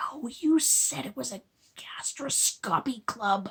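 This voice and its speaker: A woman puts on a raspy character voice with a fairly high pitch and very wide pitch swings. She speaks at a fairly slow pace. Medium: read story. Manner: tense, through gritted teeth.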